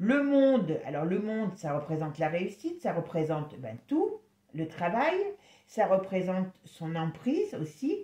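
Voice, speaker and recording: The voice is dark, mellow and somewhat breathy, moving fairly slowly with very wide pitch swings. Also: woman, medium pitch for a woman. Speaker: tarot reader. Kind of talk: tarot reading video. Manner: casual, hesitant.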